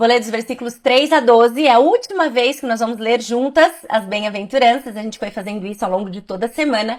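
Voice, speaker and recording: A woman's fairly high voice at a very fast pace with hardly any pauses, ordinary pitch variation and big swings in loudness, on a very clean recording with a silent background. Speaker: Bible teacher. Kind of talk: Bible study talk.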